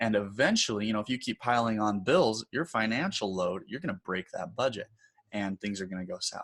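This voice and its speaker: This man has a plain, everyday voice. He talks at a fairly quick pace with a fairly low pitch. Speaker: design instructor. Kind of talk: tutorial. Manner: casual, conversational.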